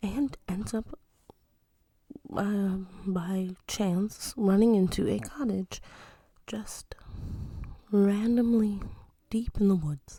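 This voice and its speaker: Speaking at a very slow pace with long, frequent pauses, a woman has a dark, mellow, somewhat breathy tone and ordinary pitch variation. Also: medium pitch for a woman. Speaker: mom ASMR storyteller. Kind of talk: bedtime-style storytelling, casual and chatty. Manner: casual, humorous, asides and self-interruptions.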